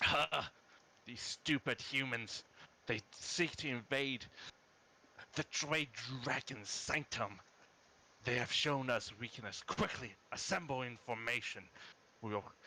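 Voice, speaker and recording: With long, frequent pauses, a man uses a put-on character voice at a medium pitch and a fairly slow pace. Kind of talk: commanding. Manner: gloating, scornful.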